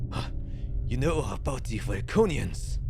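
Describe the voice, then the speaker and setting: A man does a put-on character voice at a moderate pace against loud background noise. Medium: actual play.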